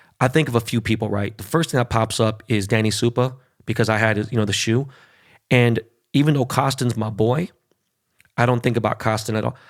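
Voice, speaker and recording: A man with a Californian accent talks in an animated tone at a fairly quick pace and medium pitch. He leaves long, frequent pauses, and the recording is very clean with a silent background. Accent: Californian American English. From Los Angeles, Koreatown. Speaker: podcast host. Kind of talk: casual interview chat.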